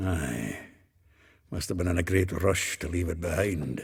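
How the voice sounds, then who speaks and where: Using a put-on character voice, a man talks at a moderate pace with a very deep, low pitch. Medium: video game. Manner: hearty, colloquial.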